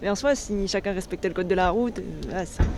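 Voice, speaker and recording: Moving at a fairly quick pace, a woman with a medium-pitched voice keeps her intonation fairly even. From western France, Angers. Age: 30s. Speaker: blind resident interviewed on accessibility. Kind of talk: interview. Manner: hesitant, many fillers and restarts.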